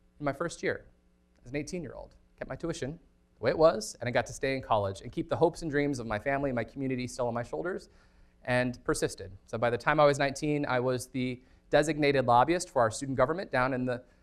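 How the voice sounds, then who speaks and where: A man with a General American accent at a fairly high pitch with ordinary pitch variation, at a very fast pace. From Colorado, north of Denver. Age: 30s. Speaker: former state senator and organizer. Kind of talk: lecture. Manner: animated.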